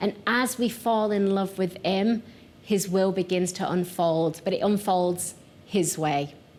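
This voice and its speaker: A woman of medium pitch speaks with a strong Yorkshire accent. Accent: thick Yorkshire. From northern England, Yorkshire. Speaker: pastor. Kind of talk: sermon.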